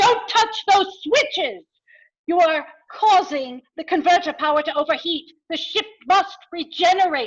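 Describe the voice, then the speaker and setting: An extremely high pitch marks this voice. It is a put-on character voice. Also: moderate pace. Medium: stage play.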